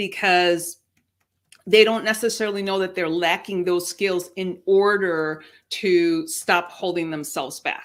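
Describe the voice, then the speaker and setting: In a very clean recording with a silent background, a woman speaks fairly slowly with a Spanish accent, a medium pitch, and fairly even intonation. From Mexico. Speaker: career coach. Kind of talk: interview. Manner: succinct.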